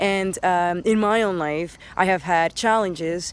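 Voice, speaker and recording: A woman with a Spanish accent, medium pitch, fairly even intonation and fairly slow pace. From Dominican Republic, then Spain, raised in Canada. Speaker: teacher. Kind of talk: casting self-introduction. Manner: hesitant, many fillers.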